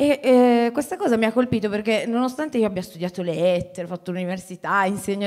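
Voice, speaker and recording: The background is quiet as a woman talks at a fairly high pitch. She has a plain, everyday voice. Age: 30s. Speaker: teacher and writer, moderator; teacher, moderator. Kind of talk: moderated public conversation. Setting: stage with audience. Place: hall. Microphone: handheld.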